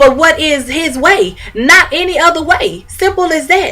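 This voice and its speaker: Through noticeable background noise comes a raised, projected voice with an animated tone and lively intonation at a moderate pace. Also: woman. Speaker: vlogger giving relationship advice. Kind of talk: casual advice monologue.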